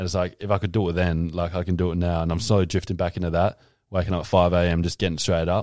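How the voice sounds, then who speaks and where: Very fast and monotone, a man talks in a very deep, low voice with flat intonation. The recording is very clean, with a silent background. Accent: Australian. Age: 20s. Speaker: podcast guest. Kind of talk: casual chat.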